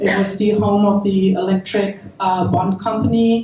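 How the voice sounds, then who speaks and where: In a German accent, the speaker goes at a fairly slow pace with ordinary pitch variation against noticeable background noise. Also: woman. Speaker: event host for a preservation group. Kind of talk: opening remarks at a panel event.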